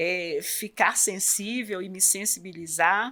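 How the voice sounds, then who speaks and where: A woman with a bright, sharp tone and a medium pitch speaks at a fairly slow pace with lively intonation. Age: 60s. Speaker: superintendent of a support house for children with cancer. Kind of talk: interview. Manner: hesitant, many fillers.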